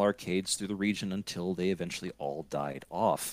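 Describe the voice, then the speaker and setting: In a very clean recording with a silent background, a man with an American accent speaks at a moderate pace, his tone bright and sharp and his intonation lively. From Scranton, Pennsylvania, US. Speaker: podcaster. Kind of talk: casual chat.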